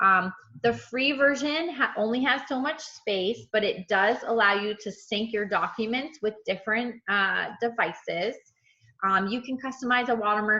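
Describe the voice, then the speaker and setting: Against a quiet background, a woman with a fairly high pitch and bright, sharp tone speaks at a moderate pace with ordinary pitch variation. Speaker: real estate trainer. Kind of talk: tutorial. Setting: video call.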